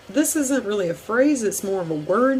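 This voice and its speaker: A Southern US accent with noticeable background noise. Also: woman. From US South (Deep South). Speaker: YouTuber. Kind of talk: casual vlog. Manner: hesitant, many fillers.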